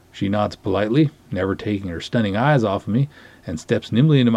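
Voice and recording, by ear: This clip is reading aloud. It is in a natural voice.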